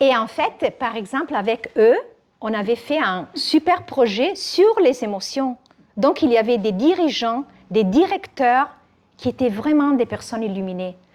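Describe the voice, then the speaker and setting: A woman speaks in an Italian accent at a fairly slow pace, her high voice moving through very wide pitch swings. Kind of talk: French spoken with an Italian accent.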